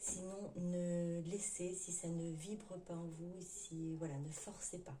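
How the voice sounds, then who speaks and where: Slowly, at a very slow pace, a woman speaks with a fairly low pitch and monotone, flat intonation. There is audible room echo and noticeable background noise. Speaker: tarot card reader. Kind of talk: tarot reading for viewers. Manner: hesitant, many fillers; forcing voice louder.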